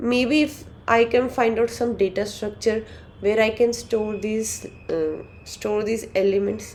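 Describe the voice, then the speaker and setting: A woman's fairly high pitch at a fairly slow pace, with fairly even intonation. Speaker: coding tutor. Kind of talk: tutorial. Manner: halting, many fillers and restarts.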